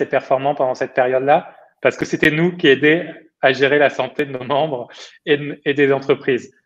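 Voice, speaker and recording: This man has a fairly high pitch and a fairly even intonation. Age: 30s. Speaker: startup founder and CEO. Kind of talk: interview.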